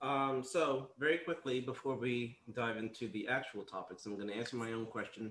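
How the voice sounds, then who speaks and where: A man speaks at medium pitch with ordinary pitch variation. He has a normal speaking voice. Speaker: podcast host. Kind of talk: casual panel discussion.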